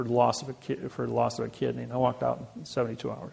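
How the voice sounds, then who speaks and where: Someone talks at a very fast pace with a Midwestern American accent. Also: man. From US Midwest, Indiana. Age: 60s. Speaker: lecturer. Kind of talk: lecture.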